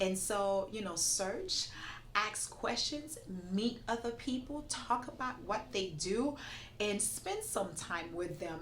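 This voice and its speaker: A woman speaks at a fairly slow pace with a non-native accent, her animated tone and lively intonation carried over audible room echo. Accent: foreign. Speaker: immigration attorney. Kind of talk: interview.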